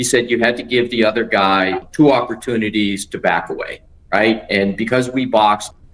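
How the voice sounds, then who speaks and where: This is a man with a plain, everyday voice. His pitch is medium. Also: fairly even intonation, moderate pace. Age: 60s. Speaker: attorney. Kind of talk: interview answer.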